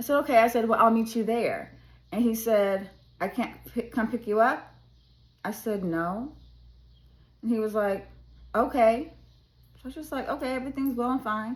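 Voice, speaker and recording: A woman talks at a fairly high pitch in an animated tone with ordinary pitch variation. Her speech has long, frequent pauses. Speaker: educator. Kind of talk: advice talk to students. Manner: fast.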